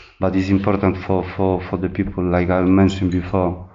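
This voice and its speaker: A man with a Polish accent speaks at a fairly low pitch. Audible room echo surrounds his voice. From Poland. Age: 30s. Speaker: recovering addict sharing at a meeting. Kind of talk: testimony. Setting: meeting room with audience. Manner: halting, many repetitions and fillers.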